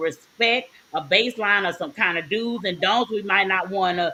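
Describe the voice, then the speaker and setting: A woman speaks in a strong Southern US accent at a fairly high pitch and a moderate pace. Her tone is animated, with ordinary pitch variation. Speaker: podcast co-host. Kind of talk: casual chat.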